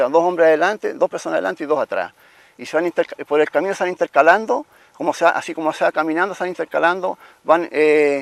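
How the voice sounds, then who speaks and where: The sound is dry and close with no echo. The pace is very fast, with fairly even intonation. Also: man, high pitch for a man. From Chile, Italian-Trentino colonist family. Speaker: interviewee telling family history. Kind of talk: oral history testimony. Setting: outdoors at former family home. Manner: halting.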